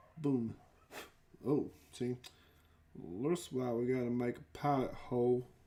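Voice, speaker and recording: A man at medium pitch with a dark, mellow tone, a very slow pace, long and frequent pauses, and fairly even intonation. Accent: Texas. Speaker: miniature hobby streamer. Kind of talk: live stream hobby tutorial while crafting. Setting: live stream. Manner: casual, chatty.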